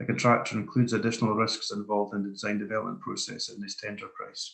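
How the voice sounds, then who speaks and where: At a very fast pace, a man talks with big swings in loudness. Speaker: quantity surveyor presenting a webinar. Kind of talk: webinar lecture. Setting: online webinar.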